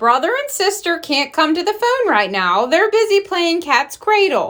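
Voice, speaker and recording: A woman uses a loud, put-on character voice at an extremely high pitch. Her pitch swings very widely as she goes at a moderate pace. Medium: read story. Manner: jolly, strong way of saying things, folksy.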